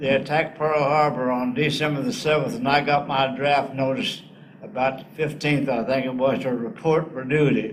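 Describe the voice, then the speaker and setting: A man with a Southern US accent speaks at a fairly high pitch. Audible room echo surrounds his voice. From US South, northeast Arkansas. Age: 80s+. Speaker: war veteran. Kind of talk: interview.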